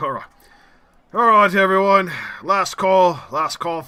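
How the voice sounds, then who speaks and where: Putting on a gruff character voice, a man speaks fairly slowly at a high pitch with fairly even intonation. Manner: tough, gruff.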